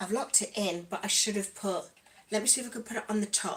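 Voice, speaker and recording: With an East Midlands accent, a woman talks in a medium pitch against noticeable background noise. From East Midlands, England. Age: 40s. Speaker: lifestyle vlogger. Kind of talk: casual livestream chat while doing makeup.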